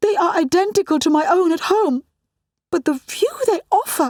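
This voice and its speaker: A woman uses a shrill, put-on character voice at a moderate pace. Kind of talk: formal old-fashioned speech. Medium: read story.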